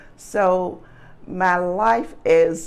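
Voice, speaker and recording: Audible room echo follows a woman speaking in a Memphis accent. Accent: Southern US (Memphis). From US South, Memphis, Tennessee. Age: 60s. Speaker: interviewee recalling civil rights era. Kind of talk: personal oral history interview. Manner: hesitant with frequent fillers.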